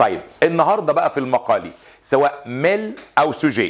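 Lively intonation runs through this man's speech at a moderate pace. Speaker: French teacher. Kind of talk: lecture. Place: studio.

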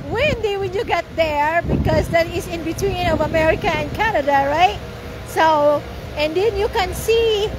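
A woman speaks at a fairly slow pace with ordinary pitch variation. The sound is dry with no echo, but there is noticeable background noise. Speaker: family vlogger. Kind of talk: casual vlog chat. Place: street. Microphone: phone near.

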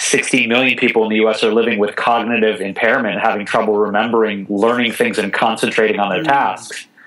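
Over noticeable background noise, a man talks at a fairly quick pace. His medium-pitched delivery is monotone and flat. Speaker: vegan chef and TV host. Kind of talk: interview answer. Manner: passionate, comedic delivery.

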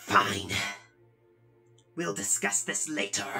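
A put-on character voice is delivered at a low pitch. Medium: dub. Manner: defensive, agitated then earnest.

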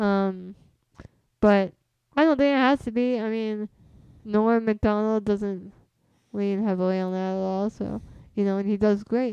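A woman with an American accent speaks in a dark, mellow tone at a fairly slow pace, her intonation fairly even. She leaves long, frequent pauses, and the sound is dry with no echo against a quiet background. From US West Coast, San Jose, California; California. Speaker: comedian. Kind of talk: casual chat. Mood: casual, relaxed. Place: home room. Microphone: studio mic.

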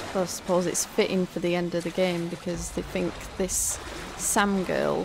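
Speech at a moderate pace with music in the background. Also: woman. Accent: British. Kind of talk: casual gameplay commentary.

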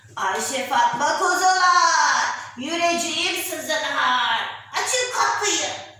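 A put-on character voice at an extremely high pitch speaks very slowly with a strong echo. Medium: read story.

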